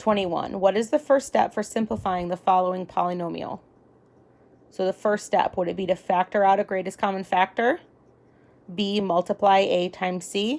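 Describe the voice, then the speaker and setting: A woman talks in a normal speaking voice at a medium pitch. Her pace is moderate and her pitch varies in an ordinary way. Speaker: parent or tutor reading an exam aloud. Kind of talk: reading aloud.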